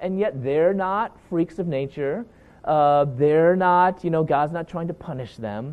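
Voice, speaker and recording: With a plain, everyday voice, a man talks at a fairly slow pace, his fairly high pitch showing ordinary variation. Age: 40s. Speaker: Bible teacher and speaker. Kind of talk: lecture.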